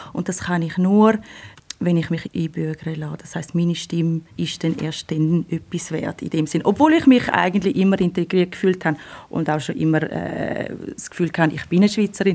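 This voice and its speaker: A woman's fairly low pitch with a dark, mellow tone. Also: fairly even intonation, moderate pace. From Switzerland, canton of Thurgau. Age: 30s. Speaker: lawyer. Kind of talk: interview.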